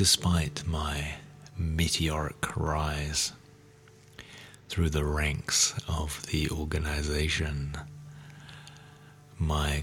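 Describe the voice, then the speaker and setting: With music in the background, a man speaks very slowly in a soothing tone and a very deep, low pitch. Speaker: podcast host. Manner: slow, soothing delivery.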